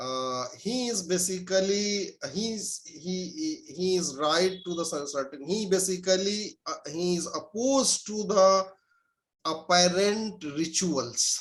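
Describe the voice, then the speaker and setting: A man with a Pakistani accent speaks very slowly at a high pitch, his intonation lively. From India. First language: Urdu. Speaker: professor. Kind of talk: interview. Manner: halting, many fillers.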